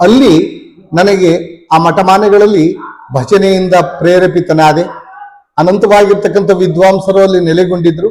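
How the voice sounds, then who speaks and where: A man speaks at a high pitch with fairly even intonation. Noticeable background noise runs behind him. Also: very even loudness. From Karnataka, Nanjangud taluk (Mysuru district). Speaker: village drama director and harmonium player. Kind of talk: interview. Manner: formal.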